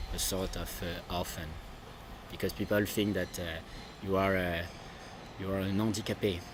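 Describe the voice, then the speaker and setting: A man speaks with a French accent in a very deep, low voice. His intonation is monotone and flat, and his pace is moderate. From France. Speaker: adoptee. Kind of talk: interview. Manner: halting.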